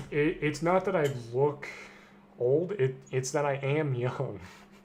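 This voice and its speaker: Pausing long and often, a man with a fairly high pitch speaks at a fairly slow pace in a somewhat breathy voice. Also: ordinary pitch variation. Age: 20s. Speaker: gaming streamer. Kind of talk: casual chat. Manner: halting.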